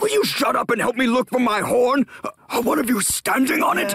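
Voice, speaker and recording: The voice is an obvious put-on character. It moves along at a middling speed. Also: man, extremely high pitch for a man. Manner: flustered, then apologetic.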